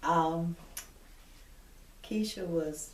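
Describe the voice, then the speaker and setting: With audible room echo, a woman talks at a very deep, low pitch with very wide pitch swings. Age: 70s. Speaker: retired police detective. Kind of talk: interview testimony. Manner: halting, with frequent fillers.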